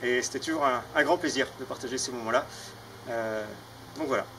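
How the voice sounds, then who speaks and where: A man with a medium pitch and ordinary pitch variation speaks fairly quickly while noticeable background noise runs underneath. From France, Mayenne (north-west). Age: 30s. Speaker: farmer. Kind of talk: personal testimony. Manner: hesitant, many fillers.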